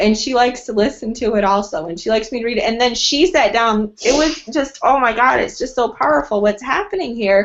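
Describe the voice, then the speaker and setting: A woman with a high pitch, an animated tone and lively intonation. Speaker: team member sharing testimony. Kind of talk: testimony.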